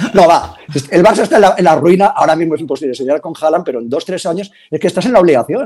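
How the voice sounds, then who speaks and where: A man speaks very fast in a high pitch with lively intonation. His loudness swings widely. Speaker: sports journalist. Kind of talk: casual debate. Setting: video call.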